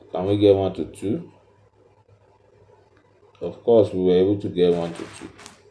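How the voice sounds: With a dark, mellow tone and low pitch, a man speaks at a moderate pace with fairly even intonation and audible room echo.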